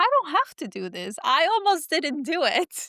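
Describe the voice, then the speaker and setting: Her voice raised and projected, a woman swings very widely in pitch with a bright, sharp tone. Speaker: podcast co-host. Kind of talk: casual chat.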